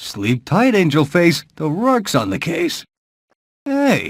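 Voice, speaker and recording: A man's high, put-on character voice with very wide pitch swings, in a very clean recording with a silent background. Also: fairly slow pace. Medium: video game. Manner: cocky, smooth.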